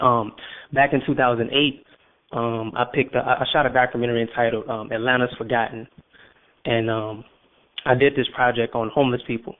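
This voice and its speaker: In a New Orleans accent, a man talks at a fairly quick pace and medium pitch, with monotone, flat intonation and long, frequent pauses. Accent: New Orleans Southern US. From US South, New Orleans. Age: 20s. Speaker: filmmaker. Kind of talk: radio interview. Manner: halting, many fillers and repetitions.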